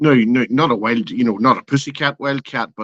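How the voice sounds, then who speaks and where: With a dry, close sound and no echo, a man talks at a moderate pace. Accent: Irish. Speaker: open mic guest. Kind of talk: casual chat.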